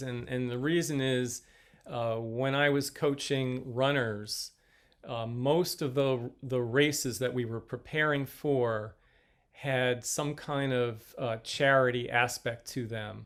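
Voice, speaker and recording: A man's medium-pitched voice at a very slow pace, with fairly even intonation. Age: 60s. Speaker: fitness company owner and coach. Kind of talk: podcast interview. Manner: halting.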